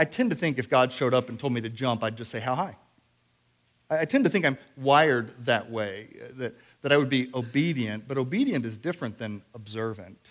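This man has an unremarkable speaking voice, talking at a fairly quick pace with medium pitch and ordinary pitch variation. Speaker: preacher. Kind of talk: sermon. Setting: church.

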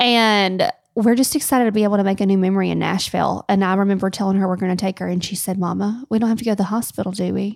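An American-accented woman speaks at a very fast pace with hardly any pauses. Her intonation is fairly even, on a very clean recording with a silent background. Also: medium pitch for a woman. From US South, Tennessee. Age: 30s. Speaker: wedding planner, podcast co-host. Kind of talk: casual chat.

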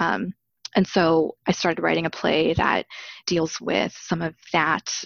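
A woman with an American accent speaks fairly slowly, her fairly low voice showing vocal fry. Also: ordinary pitch variation. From Arizona, US. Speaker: playwright and healer. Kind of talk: casual chat. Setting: video call. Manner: halting.

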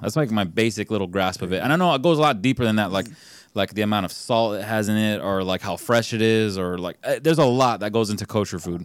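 The man rushes along at a very fast pace, his pitch varying in an ordinary way. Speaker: podcast co-host. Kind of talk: casual chat. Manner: loud.

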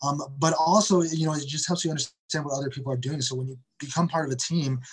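Speaking very fast with an American accent, a man uses a fairly high pitch, a somewhat breathy sound and fairly even intonation. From Detroit, Michigan, US Midwest. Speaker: soccer club media manager. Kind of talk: interview. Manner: halting, many repetitions and fillers.

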